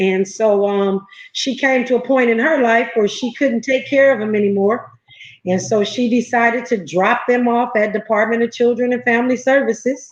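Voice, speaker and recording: A woman with an unremarkable speaking voice talks at a moderate pace in a fairly high pitch. Her intonation stays fairly even and her loudness very even. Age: 50s. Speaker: entrepreneur and foster parent. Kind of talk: interview. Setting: livestream.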